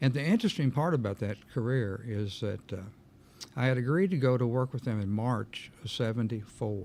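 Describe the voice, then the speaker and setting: The speaker is a man with a medium pitch. He goes at a fairly quick pace with ordinary pitch variation. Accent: Kentucky. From Kentucky, Meade County area. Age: 70s. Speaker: insurance agent. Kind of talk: interview. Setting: studio.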